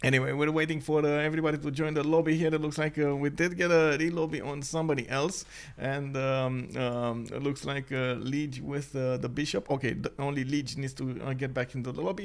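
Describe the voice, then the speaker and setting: A man with a non-native accent speaks at a moderate pace, his pitch fairly high and varying in an ordinary way. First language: not English. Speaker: game caster and streamer. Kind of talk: live game commentary stream. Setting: live stream. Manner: hesitant, many filler words.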